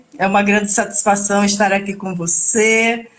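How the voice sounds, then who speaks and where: A woman with a northeastern Brazilian accent, at a fairly slow pace. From Brazil, Alagoas (Northeast). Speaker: real estate lawyer. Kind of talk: live stream interview. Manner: hesitant, many filler sounds.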